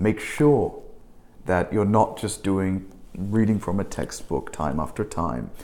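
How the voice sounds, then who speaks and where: At a fairly slow pace, a man with an Australian accent speaks with lively intonation and a dark, mellow tone. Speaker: English teaching instructor. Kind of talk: tutorial. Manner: halting, self-correcting.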